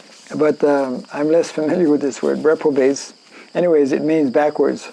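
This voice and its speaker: A man with a French accent speaks fairly high at a moderate pace with fairly even intonation, against noticeable background noise. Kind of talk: scripture lecture. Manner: halting, many fillers.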